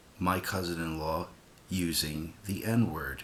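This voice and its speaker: Quiet speech at a very slow pace with fairly even intonation. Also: man. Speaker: vlogger. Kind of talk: casual vlog rant. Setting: home at night. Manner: kept quiet, subdued.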